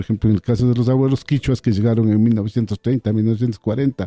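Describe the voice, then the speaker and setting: Talking at a very fast pace, a man with a dark, mellow tone and medium pitch uses ordinary pitch variation in a dry, close sound with no echo. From Ecuador, Andean Kichwa community. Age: 60s. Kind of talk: radio interview. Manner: halting, frequent repetitions.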